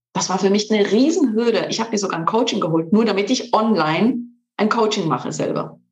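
A woman with a fairly high pitch speaks very fast, with ordinary pitch variation. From Switzerland. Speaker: coach and trainer. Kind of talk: interview.

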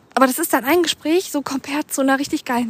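A woman talks at a fairly quick pace with noticeable background noise. The sound is dry and close, with no echo. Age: 30s. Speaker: podcast host. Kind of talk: casual monologue. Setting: outdoors, walking. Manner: rambling with fillers.

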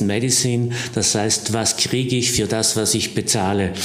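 At a moderate pace, a man talks at a medium pitch with monotone, flat intonation. Noticeable background noise and audible room echo fill the recording. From South Tyrol, Passeier valley. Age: 60s. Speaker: surgeon. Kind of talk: interview.

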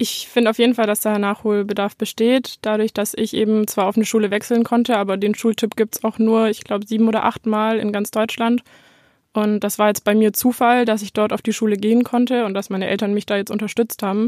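Recorded very cleanly against a silent background, a woman speaks at a fairly quick pace in a fairly high pitch with monotone, flat intonation. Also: dry, close sound with no echo. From Bavaria, Neu-Ulm. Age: 20s. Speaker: self-employed photographer. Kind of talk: interview.

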